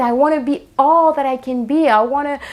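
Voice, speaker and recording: Her pitch high, a woman speaks in an animated tone at a fairly slow pace. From Latin America. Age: 30s. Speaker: podcast host and actress. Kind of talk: motivational podcast monologue. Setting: home living room.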